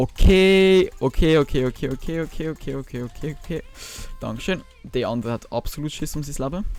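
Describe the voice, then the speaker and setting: With music in the background, a man with a Swiss accent speaks at a fairly quick pace in a fairly high pitch, with ordinary pitch variation. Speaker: gaming YouTuber. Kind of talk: casual gaming commentary.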